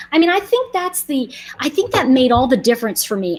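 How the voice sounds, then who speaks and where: A woman with an American accent talks at a fairly quick pace, her high voice making very wide pitch swings. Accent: New York accent, noted by viewers. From New York. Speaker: online nail polish seller, channel host. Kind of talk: live stream product demo and chat. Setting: YouTube livestream. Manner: animated, chatty.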